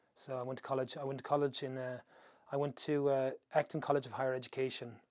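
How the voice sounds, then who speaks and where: A man speaks at a very fast pace. His medium pitch stays in monotone, flat intonation. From Ireland, near Shannon. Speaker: interviewee in oral history project. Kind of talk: oral history interview. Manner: halting, many false starts.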